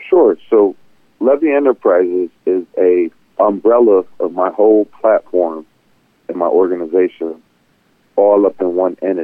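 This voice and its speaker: With an American accent, a man speaks at a fairly slow pace in a very deep, low voice, using ordinary pitch variation and long, frequent pauses. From Buffalo, New York. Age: 40s. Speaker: entrepreneur. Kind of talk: interview.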